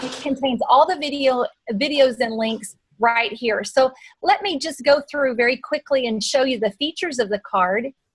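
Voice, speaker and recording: A woman with a Texan accent speaks at a moderate pace in a high pitch with lively intonation, the sound dry and close with no echo. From Texas. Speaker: marketing presenter. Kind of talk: webinar presentation.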